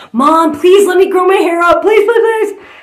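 The woman's voice carries audible room echo against a quiet background. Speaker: comedian. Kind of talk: comedic storytelling monologue. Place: home room. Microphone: phone near.

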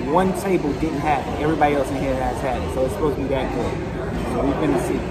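A man speaks very fast while loud noise carries on in the background. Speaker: date night vlog co-host. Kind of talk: casual vlog chat. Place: bar. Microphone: phone near.

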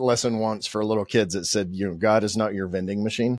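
The background is quiet while someone talks at a fairly quick pace. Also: man, dry sound with no echo. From Oklahoma. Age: 50s. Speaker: podcast host. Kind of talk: casual interview. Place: studio. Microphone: studio mic.

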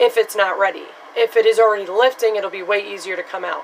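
With light background noise behind her, a woman talks at a fairly quick pace and fairly even intonation. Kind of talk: casual tutorial vlog chat. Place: bathroom. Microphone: phone near.

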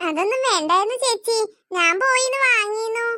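In a squeaky, cartoonish character voice, a woman speaks at an extremely high pitch and a moderate pace, with ordinary pitch variation. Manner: humble, soft-spoken.

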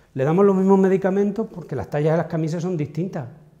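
Against a quiet background, a man talks at a very fast pace. His tone is dark and mellow. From Extremadura, Spain. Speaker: pharmacogenetics researcher. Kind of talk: interview. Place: hall. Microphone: lapel.

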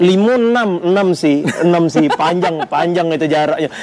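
A high-pitched male voice with ordinary pitch variation and very even loudness over light background noise. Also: moderate pace. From Palembang, Indonesia. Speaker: stand-up comedian. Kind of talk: casual interview answer. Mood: relaxed, joking, laughing. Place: cafe.

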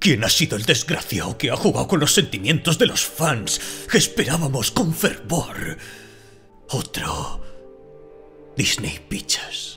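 Very wide pitch swings mark a fairly slow delivery broken by long, frequent pauses. Clear music plays in the background. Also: man, fairly high pitch for a man. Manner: indignant, haughty.

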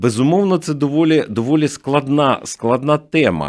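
The recording is very clean, and the background is silent. A man delivers his words at a fairly slow pace. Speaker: news agency director. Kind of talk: radio interview. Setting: studio.

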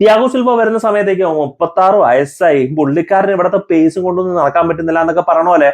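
A man's high-pitched voice holds a very even loudness with ordinary pitch variation. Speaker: football YouTuber. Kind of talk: video commentary monologue.

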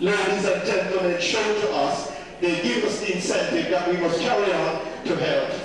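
A man's high-pitched voice at a moderate pace, with ordinary pitch variation, strong room echo and noticeable background noise. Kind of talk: speech to gathering. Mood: warm, earnest. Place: hall. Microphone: camera far.

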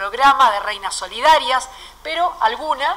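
At a moderate pace, a woman talks in a raised, projected voice. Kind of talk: press conference announcement. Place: hall. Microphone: podium.

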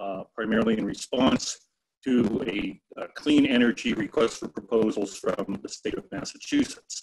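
Against a quiet background, a man with medium pitch and ordinary pitch variation talks in a normal speaking voice. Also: moderate pace. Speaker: forest ecologist. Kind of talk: webinar presentation. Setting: video call. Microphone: video call.

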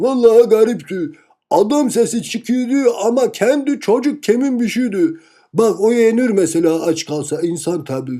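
A cartoonish character voice delivers the lines at a moderate pace. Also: man, high pitch for a man. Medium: puppet show. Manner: blunt, matter-of-fact.

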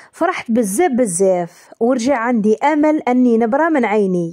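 Speaking with an Algerian accent, a woman uses a high pitch with very wide swings. Her pace is fairly slow. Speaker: storytelling YouTuber. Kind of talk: reading aloud a first-person story.

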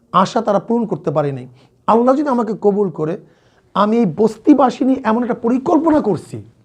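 Lively intonation marks this voice. A man speaks at a high pitch. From Bangladesh, Barisal. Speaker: Islamic scholar and parliamentary candidate. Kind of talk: interview.

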